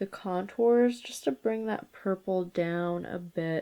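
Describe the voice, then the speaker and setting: The speaker talks at a very slow pace in a dark, mellow tone. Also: woman. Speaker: beauty youtuber. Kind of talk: makeup tutorial. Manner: casual, chatty.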